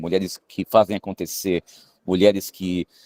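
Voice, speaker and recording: A man speaks at a moderate speed, and the very clean recording has a silent background and a dry, close sound with no echo. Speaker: film director and screenwriter. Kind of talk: interview. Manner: hesitant, many filler sounds.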